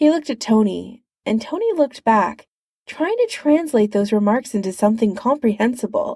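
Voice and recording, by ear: Lively intonation while reading aloud in a natural voice, quiet all around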